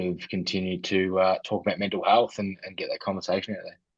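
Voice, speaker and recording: His accent is Australian. The man keeps a fairly quick pace. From Australia, Ballarat, Victoria. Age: 30s. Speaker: mental health charity founder, former personal trainer. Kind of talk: interview, personal testimony. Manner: hesitant, many fillers.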